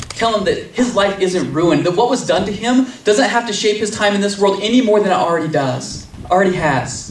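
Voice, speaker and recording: A man with a high pitch speaks in an intense tone at a fairly quick pace. His pitch varies an ordinary amount, and there is noticeable background noise. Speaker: poet. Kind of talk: live slam poetry performance. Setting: live outdoor event. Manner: intense, earnest.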